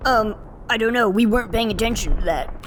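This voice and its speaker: Over clear background noise, a woman in a put-on character voice speaks very fast at a fairly high pitch, with very even loudness. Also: ordinary pitch variation. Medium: machinima. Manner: meek.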